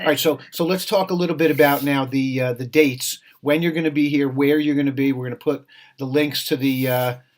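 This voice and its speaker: A man's fairly high-pitched voice, fairly quick in pace and fairly even in intonation. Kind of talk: interview. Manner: fast.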